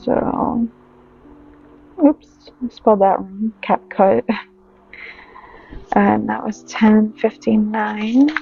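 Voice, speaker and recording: A woman speaking at a very slow pace, with long, frequent pauses and noticeable background noise. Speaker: budgeting vlogger. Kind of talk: casual tutorial.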